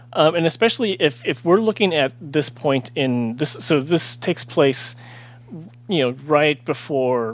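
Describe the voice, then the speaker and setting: At a rather slow pace, a man with a normal speaking voice talks, his pitch moving in an ordinary way. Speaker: author. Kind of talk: casual chat.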